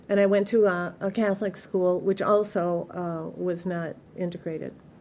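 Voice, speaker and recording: In a Midwestern American accent, a woman speaks in a flat monotone with a dark, mellow tone. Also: medium pitch for a woman, moderate pace. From US Midwest, Detroit. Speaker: oral history interviewee. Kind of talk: oral history interview. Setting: museum.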